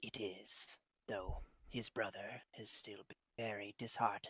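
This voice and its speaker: In a whispered, put-on character voice, a man speaks at a fairly slow pace with big swings in loudness and a dry, close sound with no echo. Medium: actual play. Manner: formal, earnest.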